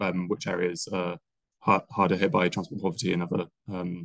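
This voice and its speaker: A man with a very deep, low pitch speaks at a moderate pace with fairly even intonation. The sound is dry with no echo, over a quiet background. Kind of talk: presentation. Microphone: video call.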